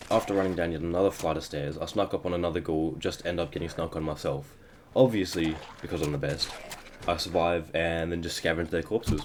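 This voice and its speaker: Very fast speech comes from a man with a very deep, low pitch and fairly even intonation. Noticeable background noise is in the clip. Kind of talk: gameplay voiceover narration. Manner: stuttering.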